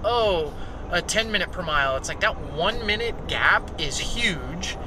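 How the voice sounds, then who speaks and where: There is noticeable background noise as a man speaks in a dry sound with no echo. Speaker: vlogger. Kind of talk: casual vlog chat. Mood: relaxed, reflective. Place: car. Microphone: phone near.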